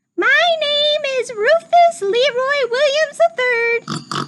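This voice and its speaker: Someone speaks at a very slow pace in a put-on character voice. The pitch is extremely high and squeaky. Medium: read story.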